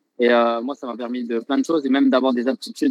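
Recorded with a dry, close sound and no echo, a man with an unremarkable speaking voice talks at a fairly quick pace, medium pitch and ordinary pitch variation. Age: 20s. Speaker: professional Thai boxer. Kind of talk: casual interview.

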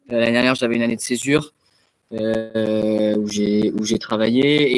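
A man speaks with fairly even intonation. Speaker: student athlete, tennis player. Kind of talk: interview. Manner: halting, many repetitions and fillers.

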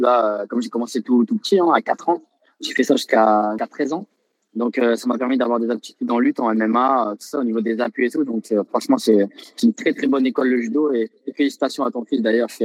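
With a normal speaking voice, a man of medium pitch talks at a fairly quick pace with fairly even intonation. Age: 20s. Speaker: professional Thai boxer. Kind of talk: interview.

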